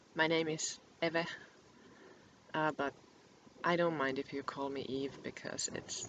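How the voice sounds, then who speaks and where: Soft-spoken and very deep, low-pitched, a woman talks at a fairly slow pace with long, frequent pauses. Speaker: book vlogger. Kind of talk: casual chat. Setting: home recording to webcam. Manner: halting. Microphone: poor webcam microphone.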